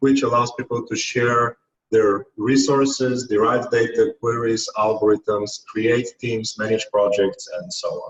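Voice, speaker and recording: This man talks at a fairly slow pace with hardly any pauses, his voice somewhat breathy and medium in pitch. His intonation stays fairly even. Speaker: technical team leader presenting a platform. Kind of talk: conference tutorial presentation.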